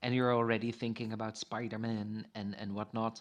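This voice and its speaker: A man speaks at medium pitch with a Dutch accent. His pace is fairly quick. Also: quiet background. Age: 50s. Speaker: founder of a thinking movement. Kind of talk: casual interview. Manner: animated, playful.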